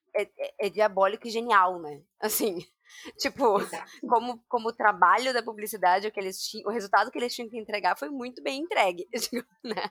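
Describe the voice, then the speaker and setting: An ordinary speaking voice at a moderate pace, with ordinary pitch variation and big swings in loudness, in a dry, close sound with no echo. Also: woman, fairly high pitch for a woman. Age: 30s. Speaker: podcast host, nutritionist. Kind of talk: casual chat.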